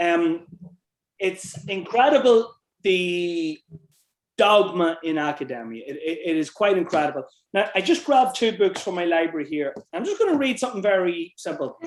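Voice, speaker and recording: In an Irish accent, a man with a high pitch speaks at a moderate pace with lively intonation. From Ireland. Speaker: author and researcher. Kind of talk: interview conversation.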